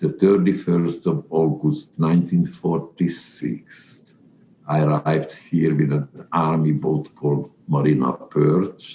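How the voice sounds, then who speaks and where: In a Central European accent, a man speaks fairly slowly in a flat monotone with a very deep, low pitch. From Czechoslovakia, Carpathian region. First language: not English (Czech/Hungarian region). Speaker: Holocaust survivor. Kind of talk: life story interview. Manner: halting.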